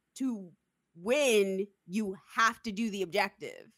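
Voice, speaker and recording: A loud woman's voice. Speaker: podcast host. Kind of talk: casual chat.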